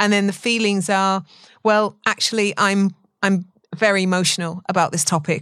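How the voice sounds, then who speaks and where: A woman with a medium pitch and fairly even intonation speaks in an ordinary speaking voice. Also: moderate pace. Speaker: podcast co-host. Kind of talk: casual chat.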